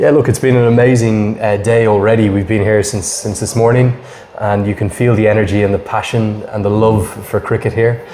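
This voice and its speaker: With a Dublin accent, a man talks at a fairly quick pace in a monotone, flat delivery at a fairly low pitch, over noticeable background noise. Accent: Irish (Dublin). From Ireland, Dublin. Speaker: cricket commentator. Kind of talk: podcast interview.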